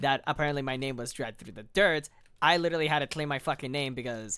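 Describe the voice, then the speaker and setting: A very fast pace in a very clean recording with a silent background. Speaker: voice actor, machinima creator. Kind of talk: casual podcast conversation.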